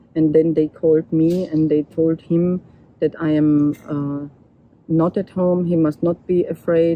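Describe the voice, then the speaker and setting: A woman with a German accent, fairly low-pitched, at a fairly slow pace, in a flat monotone. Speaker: photographer and documentary artist. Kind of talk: interview testimony. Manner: halting.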